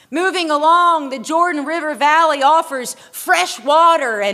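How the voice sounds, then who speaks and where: Her voice is raised and projected, with a bright, sharp tone. The woman speaks at a high pitch and a very slow pace. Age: 40s. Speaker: pastor. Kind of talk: sermon.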